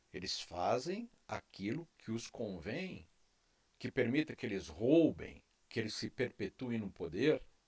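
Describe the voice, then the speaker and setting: Here a man speaks at a medium pitch. His pitch swings very widely. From Brazil. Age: 60s. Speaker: YouTube commentator. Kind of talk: opinion monologue. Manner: impassioned.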